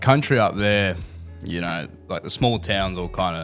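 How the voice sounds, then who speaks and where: A very fast man with an Australian accent and a very deep, low pitch, on a very clean recording with a silent background. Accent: Australian, sounds a bit rural. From Australia (Melbourne, rural-influenced). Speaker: university student. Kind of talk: casual interview chat.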